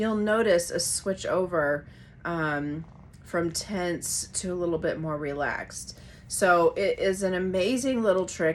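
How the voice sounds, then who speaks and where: With lively intonation and a moderate pace, an unremarkable speaking voice carries on. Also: woman. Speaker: yoga and breathwork teacher. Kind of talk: online class intro and guided breathing. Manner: casual with frequent fillers.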